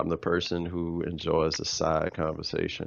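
A man with a very deep, low pitch. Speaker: works with kids, youth mentor. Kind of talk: casual chat. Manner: slow.

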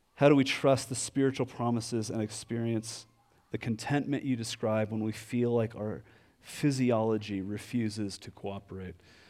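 The speaker has an unremarkable speaking voice and a moderate pace. The intonation stays fairly even. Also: man, medium pitch for a man. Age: 40s. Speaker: pastor. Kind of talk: sermon.

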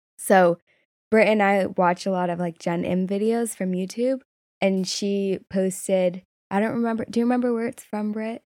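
An ordinary speaking voice from a woman at medium pitch, with fairly even intonation and a moderate pace. The recording is very clean and dry, close with no echo, over a silent background. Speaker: podcast co-host. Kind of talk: casual chat.

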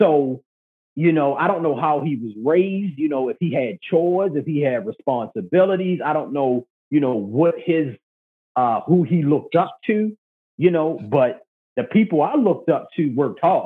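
Fairly high in pitch, a man's normal speaking voice proceeds at a moderate pace. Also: lively intonation. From Baltimore, Maryland. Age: 30s. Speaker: podcast host, guest. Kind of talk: casual chat.

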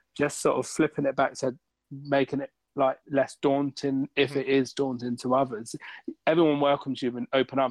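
At a moderate pace, a man speaks in a plain, everyday voice with a fairly high pitch. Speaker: racing driver. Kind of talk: casual chat.

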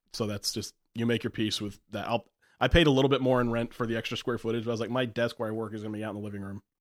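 Recorded in a dry, close sound with no echo, a man speaks very rapidly. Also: medium pitch for a man, very clean recording, silent background. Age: 30s. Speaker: returning podcast guest. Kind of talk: casual chat. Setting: studio. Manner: animated.

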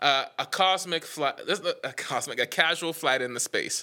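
Speaking at a fairly slow pace, a man has a high pitch, a bright, sharp tone and ordinary pitch variation. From Bahamas, Nassau. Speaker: songwriter. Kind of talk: casual chat. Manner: laughs often.

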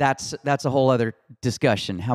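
A man with a medium-pitched, normal speaking voice talks at a fairly quick pace with fairly even intonation, the recording very clean with a silent background and a dry, close sound with no echo. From Houston, Texas. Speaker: country music singer-songwriter. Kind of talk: casual interview. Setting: host's home.

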